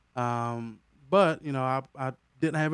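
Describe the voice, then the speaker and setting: A man talks with fairly even intonation. The sound is dry and close with no echo, very clean, over a silent background. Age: 30s. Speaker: DJ and event company owner. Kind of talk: casual interview chat. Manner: halting, many fillers and repeats.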